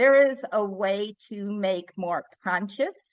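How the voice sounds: A woman speaks with a medium pitch. Her pace is slow, with ordinary pitch variation.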